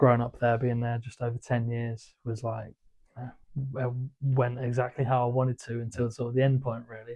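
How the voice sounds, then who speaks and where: With a southern English accent, a man talks in a somewhat breathy voice using monotone, flat intonation. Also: medium pitch for a man, moderate pace. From southern England. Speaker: former footballer turned wealth manager. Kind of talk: interview. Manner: hesitant, many fillers.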